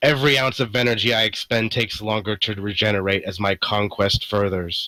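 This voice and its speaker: Doing a put-on character voice, a man talks at a fairly quick pace with a raspy, fairly low pitch and fairly even intonation, the sound dry and close with no echo. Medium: actual play. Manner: cold, domineering.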